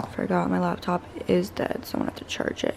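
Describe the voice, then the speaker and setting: A woman speaks quietly. Background noise is noticeable. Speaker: fitness content creator. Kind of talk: casual vlog narration. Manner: talking quietly.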